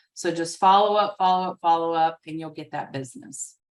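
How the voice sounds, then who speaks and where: With a Southern US accent, a woman talks fairly quickly at a fairly low pitch, with ordinary pitch variation. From US South. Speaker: real estate trainer. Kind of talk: webinar training presentation. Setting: video call with screen sharing.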